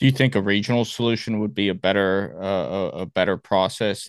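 Against a quiet background, a man with an American accent talks at a moderate pace in a normal speaking voice with a fairly low pitch. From Miami, Florida. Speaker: podcast host, Marine veteran. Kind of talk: interview.

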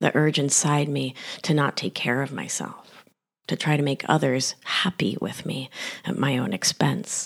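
A woman's very deep, low voice with vocal fry at a fairly slow pace. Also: ordinary pitch variation. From Argentina and Rhode Island, US. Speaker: podcast host, nurse practitioner and life coach. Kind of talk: personal story, monologue.

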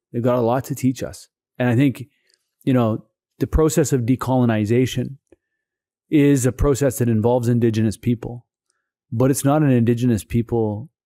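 A man with a West Coast Canadian accent speaks at a moderate pace in a dark, mellow tone, his fairly even intonation broken by long, frequent pauses, in a dry, close sound with no echo. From Saanich Peninsula, Vancouver Island, British Columbia. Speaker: provincial legislator. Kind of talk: interview. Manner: halting, many fillers.

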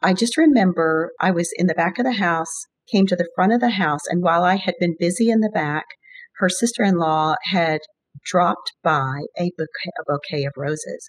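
This is an ordinary speaking voice with an American accent, at a moderate pace with ordinary pitch variation. The background is quiet. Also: woman, fairly low pitch for a woman. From US, Virginia. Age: 60s. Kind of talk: interview about faith and prayer.

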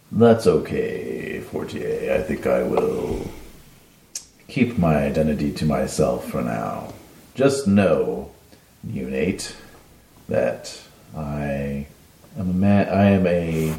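A man's put-on character voice in a menacing tone, very deep and low, raspy and wheezy, at a very slow pace with long, frequent pauses and a slight echo. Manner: menacing, secretive.

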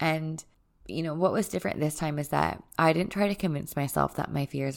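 A soft-spoken woman talks in a warm tone with ordinary pitch variation. The recording is very clean, with a silent background. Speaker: podcast host and retreat leader. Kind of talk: solo podcast monologue, personal and spiritual. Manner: soft-spoken, reserved; warm, reflective.

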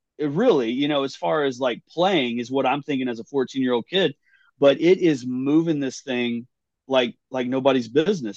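The speaker uses lively intonation at a moderate pace, in a West Texas accent. The sound is dry and close with no echo. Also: man. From West Texas (Big Spring). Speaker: drummer. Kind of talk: casual interview. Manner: halting, repeats words.

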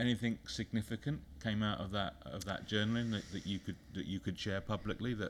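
Speaking with a British accent at a fairly quick pace, a man has a fairly low pitch with ordinary variation. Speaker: business consultant. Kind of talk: casual interview. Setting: studio.

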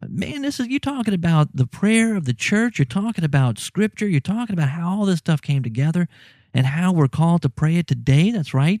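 A man speaks with a Southern US accent. His high voice makes very wide pitch swings. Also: fairly quick pace. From US South, Louisiana. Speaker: podcast host. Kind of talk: casual chat. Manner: animated, laughs often.

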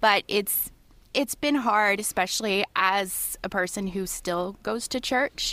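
A woman at medium pitch with a bright, sharp tone and ordinary pitch variation, on a very clean recording with a silent background. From Ontario, Canada. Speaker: podcast guest. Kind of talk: casual chat.

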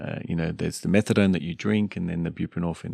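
With an Australian accent and a very deep, low pitch, a man speaks over a quiet background. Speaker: addiction medicine doctor. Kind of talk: casual interview as co-host.

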